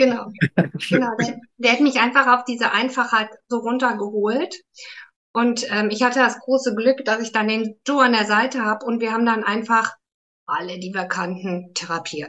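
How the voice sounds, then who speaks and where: A woman with a plain, everyday voice and a fairly high pitch speaks at a moderate pace. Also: ordinary pitch variation. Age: 50s. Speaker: therapist, academy graduate. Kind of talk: interview conversation.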